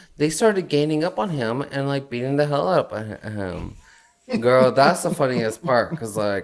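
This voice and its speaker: Speaking at a moderate pace, a man uses an animated tone and lively intonation. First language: Spanish. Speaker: podcast co-host. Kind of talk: casual chat.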